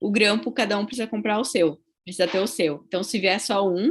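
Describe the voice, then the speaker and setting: Somewhat breathy speech at a fairly quick pace, with a southern Brazilian accent and ordinary pitch variation. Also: woman. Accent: gaúcho (southern Brazilian). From southern Brazil, Rio Grande do Sul. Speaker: dentistry professor. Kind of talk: lecture. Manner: conversational, frequent tag 'tá?'.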